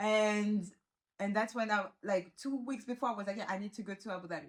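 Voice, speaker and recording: Somewhat breathy, a woman with a French accent talks at a fairly quick pace with ordinary pitch variation. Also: medium pitch for a woman. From Réunion Island. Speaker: law graduate living abroad. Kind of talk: casual interview chat. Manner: halting, frequent restarts and fillers.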